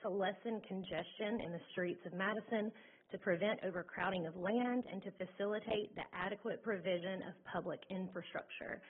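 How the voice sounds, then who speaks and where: A woman talks at a moderate pace with a medium pitch. Her intonation stays fairly even. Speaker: resident speaking at public comment. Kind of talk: public comment at council meeting. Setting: council chamber at a microphone. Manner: loud; reads prepared statement with hesitations.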